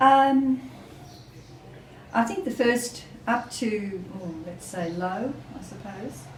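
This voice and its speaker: Speaking very slowly in an Australian accent, a woman with a fairly high pitch swings her pitch very widely and takes long, frequent pauses, with noticeable background noise and audible room echo. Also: big swings in loudness. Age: 60s. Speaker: trekker. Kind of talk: interview.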